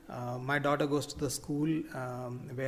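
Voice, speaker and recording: A man speaks with a fairly high pitch. There is noticeable noise in the background. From Kerala, India (Cochin). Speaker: electric cab company founder. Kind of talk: interview.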